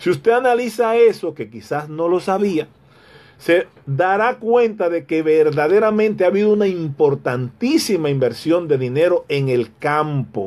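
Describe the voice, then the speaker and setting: The voice moves at a fairly slow pace with very wide pitch swings. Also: man, high pitch for a man. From Dominican Republic, rural Hato Mayor province; Dominican Republic. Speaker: radio commentator. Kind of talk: radio commentary monologue. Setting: radio studio, also streamed live on Facebook. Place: office. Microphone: phone near.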